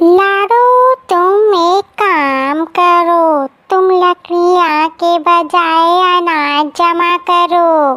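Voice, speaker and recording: A woman does a cartoonish character voice at an extremely high pitch. She talks very slowly, with hardly any pauses. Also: very even loudness. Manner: cunning, self-serving.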